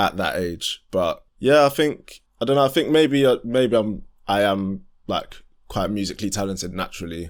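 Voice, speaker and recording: A man with a London accent talks at a moderate pace in a very clean recording with a silent background. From southeast London. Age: 20s. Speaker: R&B singer and musician. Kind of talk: podcast interview. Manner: casual, hesitant with fillers.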